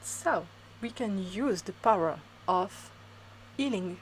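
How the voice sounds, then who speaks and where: In a French accent, a woman speaks very slowly at a medium pitch with ordinary pitch variation. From France. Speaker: spiritual reader. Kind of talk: spiritual talk to camera.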